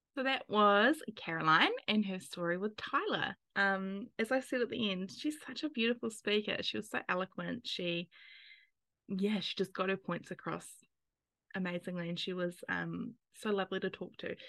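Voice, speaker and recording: Against a quiet background, a woman with a New Zealand accent speaks in a bright, sharp tone at a medium pitch and a moderate pace. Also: ordinary pitch variation. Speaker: podcast host, NICU parent. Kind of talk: casual interview; scripted narration.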